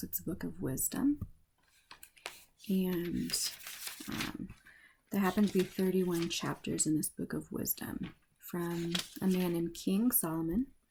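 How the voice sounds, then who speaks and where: A somewhat breathy voice with a dark, mellow, soothing, calm tone goes at a fairly slow pace with ordinary pitch variation. Long pauses come often. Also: woman, fairly low pitch for a woman. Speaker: ASMR reader. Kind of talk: casual talk to camera, intro before reading. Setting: close-mic ASMR recording. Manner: soothing, calm, relaxed.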